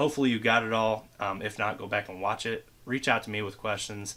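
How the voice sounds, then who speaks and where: A fairly quick man's voice of medium pitch with a bright, sharp tone. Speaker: tech product reviewer. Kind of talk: product review. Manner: fast; casual.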